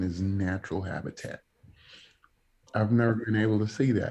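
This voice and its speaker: Over a quiet background, a man with a fairly low pitch and a dark, mellow tone speaks with fairly even intonation. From New York, the Bronx. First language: Spanish. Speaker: evangelist preacher. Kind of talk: casual interview chat.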